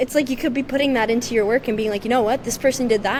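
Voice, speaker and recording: A woman talks over noticeable background noise. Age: 20s. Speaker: musician. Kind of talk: casual chat.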